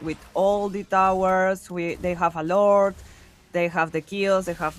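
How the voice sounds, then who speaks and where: Here a woman talks with a Spanish accent. Her pace is fairly slow. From Peru. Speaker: esports caster. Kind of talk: live commentary. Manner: animated.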